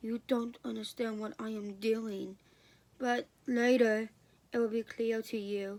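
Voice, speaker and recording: Soft-spoken, a woman uses a put-on character voice at a fairly high pitch, talking at a fairly slow pace in a monotone, flat intonation with long, frequent pauses. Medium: read story. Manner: gentle, soft-spoken.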